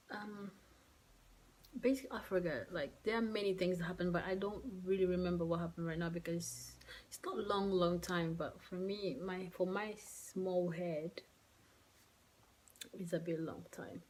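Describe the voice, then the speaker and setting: Long, frequent pauses interrupt speech delivered at a moderate pace. Noticeable background noise is present. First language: not English. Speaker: YouTuber sharing conversion story. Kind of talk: personal testimony. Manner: halting.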